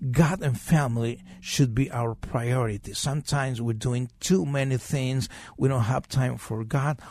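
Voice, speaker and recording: A man's somewhat breathy, medium-pitched voice in a Spanish accent, fairly slow with hardly any pauses and ordinary pitch variation, over a quiet background. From Mexico. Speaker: pastor and chaplain. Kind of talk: radio interview.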